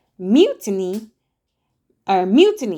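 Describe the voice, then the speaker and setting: In a put-on character voice, a woman sounds shrill at a medium pitch. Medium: read story.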